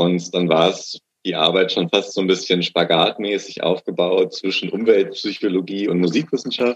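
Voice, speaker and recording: Moderate-paced speech from a man with a very deep, low pitch and fairly even intonation. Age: 20s. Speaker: master's graduate in musicology. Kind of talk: interview.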